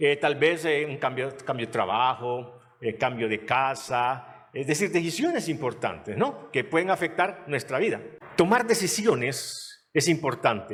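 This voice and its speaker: In a normal speaking voice, someone talks at a fairly slow pace with lively intonation. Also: man, fairly high pitch for a man. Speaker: pastor. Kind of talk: sermon.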